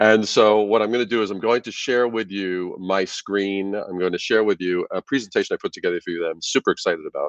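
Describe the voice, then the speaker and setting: A man with a New York accent talks at a very fast pace in an enthusiastic tone, with hardly any pauses. The sound is dry and close, with no echo. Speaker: branding expert. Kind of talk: conference presentation. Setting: video call from office.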